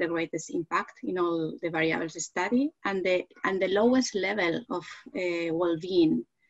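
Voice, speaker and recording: A woman with a Spanish accent, a fairly low voice and ordinary pitch variation, faint music in the background. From Spain. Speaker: psychology professor; panelist. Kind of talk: panel discussion; presentation of research findings. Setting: video call. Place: home room. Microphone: headset.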